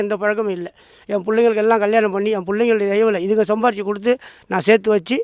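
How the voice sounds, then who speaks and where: A man speaks with a high-pitched voice. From Tamil Nadu, Madras and Pudukkottai. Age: 60s. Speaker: temple devotee. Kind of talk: testimony.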